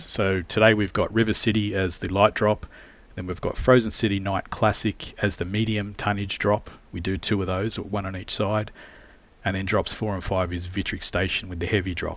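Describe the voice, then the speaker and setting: In an Australian accent, a man talks with monotone, flat intonation. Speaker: esports caster. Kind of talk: live commentary.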